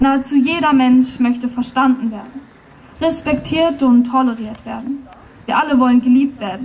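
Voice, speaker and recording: Her intonation stays fairly even as a woman speaks at a moderate pace in a high voice. There is light background noise. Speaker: poetry slam performer. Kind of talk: poetry slam performance at a rally. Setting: outdoors, PA system. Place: stage. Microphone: podium.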